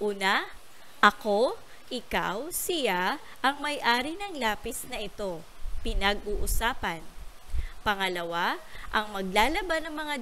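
At a very slow pace, the speaker's pitch swings very widely, with audible room echo. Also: woman. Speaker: primary school teacher. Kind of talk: lesson for young pupils. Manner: slow and clear.

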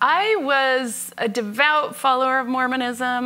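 A woman's voice has a bright, sharp tone, with light noise in the background. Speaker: interview guest. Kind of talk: interview answer. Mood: warm, reflective, occasional laughs. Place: home room. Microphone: lapel.

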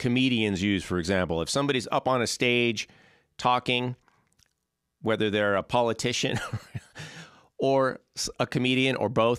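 A man talks at a moderate pace with ordinary pitch variation, leaving long, frequent pauses. The sound is dry with no echo, over a quiet background. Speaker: percussion teacher. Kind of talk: tutorial. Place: studio. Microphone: handheld.

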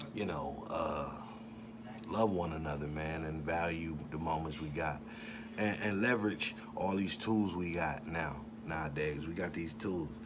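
Over noticeable background noise, a man speaks in a relaxed tone at a fairly slow pace with ordinary pitch variation. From Detroit, US. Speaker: rapper and vlogger; vlogger. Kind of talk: casual monologue. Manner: casual, relaxed. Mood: relaxed, opinionated.

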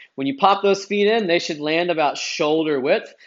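A man is speaking against a quiet background. His pitch varies in an ordinary way. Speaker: fitness coach. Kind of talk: tutorial. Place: garage.

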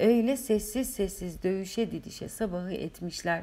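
The woman speaks fairly slowly, her tone dark and mellow. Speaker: author reading her own novel. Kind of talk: audiobook reading. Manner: emotional, occasionally faltering.

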